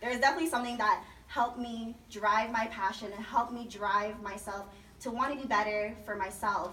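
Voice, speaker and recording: Delivered at a fairly quick pace with fairly even intonation, the speech carries audible room echo and noticeable background noise. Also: woman, fairly high pitch for a woman. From Las Vegas, Nevada. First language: Chinese. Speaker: program alumna, student speaker. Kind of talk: personal testimony speech. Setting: party event with audience. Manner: loud, projecting.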